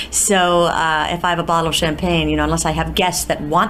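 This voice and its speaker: Someone with an American accent speaks at a very fast pace, with audible room echo and noticeable background noise. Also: woman. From US, New York. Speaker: musical theatre actress. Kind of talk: interview. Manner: halting, many fillers.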